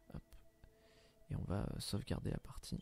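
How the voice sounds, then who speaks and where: A man whispers at a moderate pace. He is soft-spoken. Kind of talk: ASMR gameplay commentary. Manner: whispered, soft-spoken.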